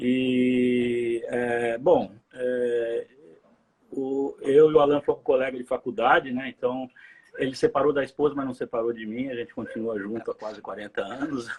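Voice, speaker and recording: Here is an ordinary speaking voice, a man's, at a medium pitch. He goes at a fairly slow pace with fairly even intonation. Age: 60s. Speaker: community member, interviewee. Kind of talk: casual interview. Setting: live video stream.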